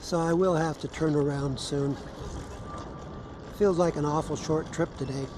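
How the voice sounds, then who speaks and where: Speaking at a moderate pace in a relaxed tone with an American accent, the voice leaves long, frequent pauses over noticeable background noise. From Southern California. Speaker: vlogger filming a wheelchair scooter ride. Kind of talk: casual narration to camera. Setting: outdoors on a beach path. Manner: relaxed, with pauses.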